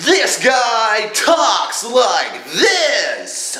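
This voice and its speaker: A man uses a put-on character voice at an extremely high pitch, with a slight echo. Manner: bombastic, over the top.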